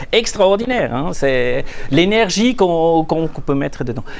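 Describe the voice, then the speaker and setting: A man with a Swiss German accent talks at a moderate pace and fairly high pitch, his intonation lively, with audible room echo. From Switzerland, Zurich. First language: Swiss German (speaking French). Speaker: management consultant. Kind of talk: conference talk. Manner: halting, many repetitions and fillers.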